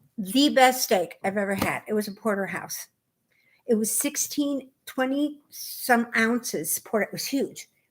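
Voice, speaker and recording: A woman with an American accent speaks in a high pitch and an animated tone. Her intonation is lively, and her loudness swings widely. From US Midwest, Chicago. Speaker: knitting podcast co-host. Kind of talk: casual chat.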